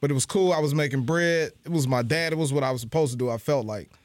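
This man has a normal speaking voice, fairly high in pitch with ordinary pitch variation. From Ohio, Cincinnati. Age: 30s. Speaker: stand-up comedian. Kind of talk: casual chat.

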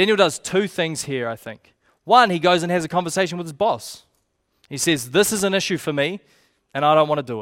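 With a New Zealand accent, a man speaks at a fairly quick pace in a high pitch, his intonation lively and his loudness swinging widely, on a very clean recording with a silent background. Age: 20s. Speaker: youth pastor. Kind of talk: sermon. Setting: church.

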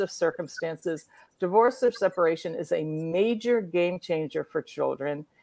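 In a very clean recording with a silent background and a dry, close sound with no echo, a woman with an American accent uses a normal speaking voice at medium pitch, moving at a moderate pace with lively intonation. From US Northeast, Rhode Island. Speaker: documentary filmmaker. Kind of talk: interview.

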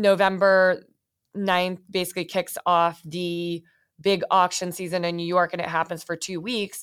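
This woman speaks in a monotone with flat intonation and an American accent. The recording is very clean, with a silent background. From US West Coast, San Francisco Bay Area. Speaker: art acquisitions executive. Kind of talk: interview.

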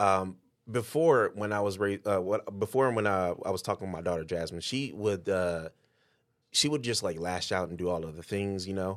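On a very clean recording with a silent background, a man with an American accent has an ordinary speaking voice, a fairly low pitch, and ordinary pitch variation. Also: moderate pace. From Detroit. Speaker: podcast host. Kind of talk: casual interview.

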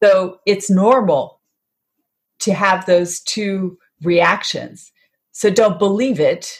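A woman with a somewhat breathy, medium-pitched voice speaks at a very slow pace, with fairly even intonation and long, frequent pauses. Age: 60s. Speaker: health author and wellness advocate. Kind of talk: interview.

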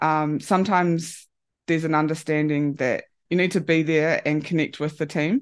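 A woman with a New Zealand accent and a very deep, low voice speaks at a moderate pace with very even loudness and fairly even intonation against a quiet background. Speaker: rugby performance analyst. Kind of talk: interview. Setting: remote call.

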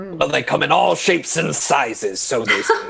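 A man uses a put-on character voice at a fairly high pitch. He speaks at a moderate pace. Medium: actual play. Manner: genial, courteous.

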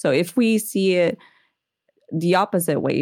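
On a very clean recording with a silent background, a woman speaks with a Portuguese accent. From Brazil (Rio de Janeiro). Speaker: holistic nutrition consultant. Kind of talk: interview conversation.

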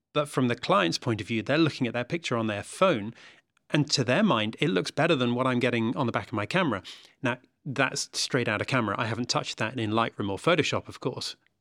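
Speaking very fast with lively intonation, a man uses a British accent at a medium pitch. The recording is very clean and dry, close with no echo, over a silent background. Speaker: podcast host. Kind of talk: interview.

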